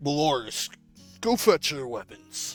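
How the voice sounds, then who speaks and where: Using a put-on character voice at a fairly high pitch, a man performs over faint music in the background. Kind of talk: noble. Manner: commanding, regal.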